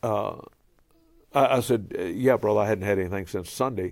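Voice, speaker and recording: A man with a Cajun accent talks at a fairly quick pace. His medium-pitched voice has ordinary pitch variation. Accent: Cajun Louisiana English. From Louisiana (Cajun). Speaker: pastor and travelling preacher. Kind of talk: casual interview.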